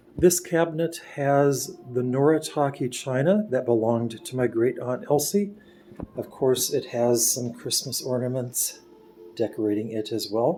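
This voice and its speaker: With music in the background, a man with an American accent talks at a fairly slow pace in a medium pitch with ordinary pitch variation. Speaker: home video tour guide. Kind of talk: home tour narration.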